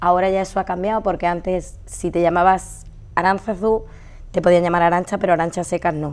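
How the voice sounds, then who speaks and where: A woman talks at a fairly quick pace with a fairly low pitch. Her intonation stays monotone and flat. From Andalusia, Seville. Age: 30s. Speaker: hospital interpreter and patient attention staff. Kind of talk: TV interview.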